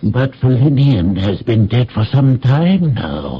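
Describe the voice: A man puts on a character voice, husky with a rough edge, at a medium pitch. He talks slowly, and his pitch swings widely.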